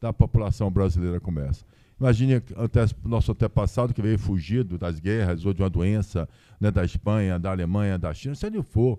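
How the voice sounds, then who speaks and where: At a fairly quick pace, a man speaks in a fairly low, dark, mellow voice with ordinary pitch variation and a dry, close sound with no echo. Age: 60s. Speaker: businessman and lawyer. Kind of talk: live podcast interview. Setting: stage with audience.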